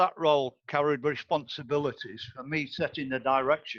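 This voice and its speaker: A man talks at a moderate pace with a Lincolnshire accent. His pitch sits fairly high, with ordinary variation. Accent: English, northern Lincolnshire. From northern Lincolnshire, England. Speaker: board candidate, retired osteopath. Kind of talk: interview. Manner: formal.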